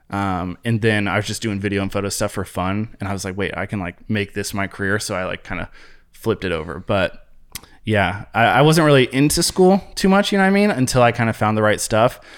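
In an American accent, an unremarkable speaking voice talks at a fairly quick pace with ordinary pitch variation, captured on a very clean recording with a silent background. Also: man. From US Midwest, Columbus, Ohio. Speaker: social media content creator. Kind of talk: casual interview chat.

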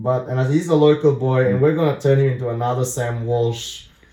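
His voice is medium in pitch, dark and mellow in tone and somewhat breathy, and he is a man. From Singapore. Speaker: sports super fan. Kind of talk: casual chat.

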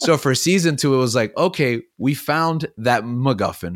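In a very clean recording with a silent background, a man with a plain, everyday voice speaks at a moderate pace with ordinary pitch variation. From Miami, Florida. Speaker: high school teacher. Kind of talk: casual chat.

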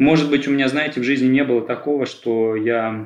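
Talking fairly quickly with fairly even intonation, a man is heard through audible room echo. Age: 30s. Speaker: therapy client. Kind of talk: therapy session. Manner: halting, many fillers.

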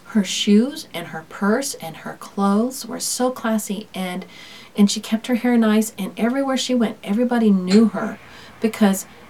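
A woman's fairly high voice, with ordinary pitch variation, keeps a moderate pace as noticeable background noise plays. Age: 50s. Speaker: podcast host and homeschooling mom. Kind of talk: casual talk to listeners. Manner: laughs often.

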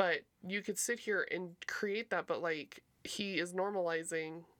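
A woman with an unremarkable speaking voice, fairly low in pitch, talks with fairly even intonation on a very clean recording with a silent background. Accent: American. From local to the show's city (Reno area, Nevada). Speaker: returning guest, former co-host. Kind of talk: casual chat.

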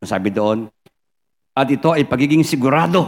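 Lively intonation from a man with a fairly high pitch. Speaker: pastor. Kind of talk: sermon.

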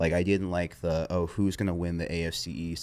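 In a very clean recording with a silent background, a man with a very deep, low voice speaks at a moderate pace. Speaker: sports content creator. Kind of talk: casual interview chat. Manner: even-keeled, monotone, rarely raises voice; laid-back.

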